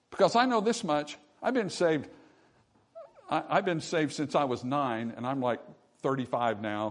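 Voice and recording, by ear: A man's voice, fairly high in pitch, with ordinary pitch variation and a fairly slow pace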